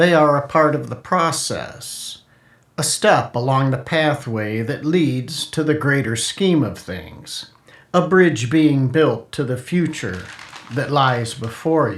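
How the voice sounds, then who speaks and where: A man talks at a very slow pace in a fairly high pitch. His voice is somewhat breathy, with ordinary pitch variation. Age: 70s. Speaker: author reading own story. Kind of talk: reading aloud.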